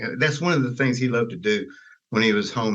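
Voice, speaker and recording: In a Southern US accent, a man speaks very fast at a medium pitch. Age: 70s. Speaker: Elvis Presley's stepbrother. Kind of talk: interview answer.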